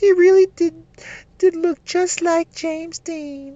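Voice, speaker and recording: Putting on a character voice, a woman speaks at a fairly slow pace in an extremely high pitch with monotone, flat intonation. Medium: read story. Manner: wistful, gentle.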